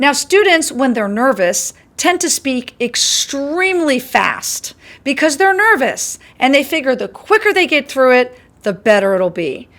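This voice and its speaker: A woman speaks loudly and at a fairly slow pace. Her high-pitched voice makes very wide pitch swings. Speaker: college instructor. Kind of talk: lecture. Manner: projects voice loudly.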